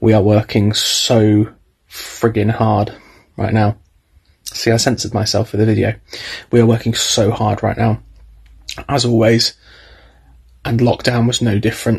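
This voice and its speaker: Against a quiet background, a somewhat breathy man speaks in a monotone, flat way at a moderate pace with long, frequent pauses. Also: very even loudness. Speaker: drama teacher. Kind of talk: casual vlog chat. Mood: frustrated, earnest. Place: home room. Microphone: phone near.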